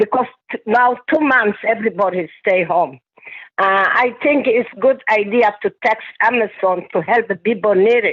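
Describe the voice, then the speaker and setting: Speaking at a moderate pace, a woman has a strong non-native accent. Her fairly high voice shows ordinary pitch variation. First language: not English. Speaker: community speaker. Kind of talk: town hall testimony. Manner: halting.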